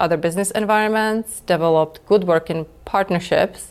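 This woman has a Czech accent and a medium pitch. She talks at a moderate pace with ordinary pitch variation. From Czech Republic. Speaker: lawyer and export control director. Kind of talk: interview.

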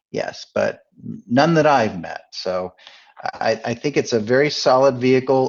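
At a fairly slow pace, a man talks in a plain, everyday voice, his pitch medium and its variation ordinary. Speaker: guest co-host, auto industry communications director. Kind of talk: casual radio conversation.

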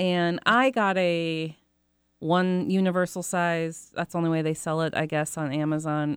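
She has a normal speaking voice. The woman's pace is moderate. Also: fairly low pitch for a woman. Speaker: dog treat business owner. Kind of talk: casual interview chat. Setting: studio.

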